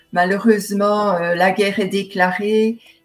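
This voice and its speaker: Monotone, flat intonation over music in the background. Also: woman. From Belgium, Seraing (Liège area). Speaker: novelist and painter. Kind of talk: interview. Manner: hesitant, many fillers.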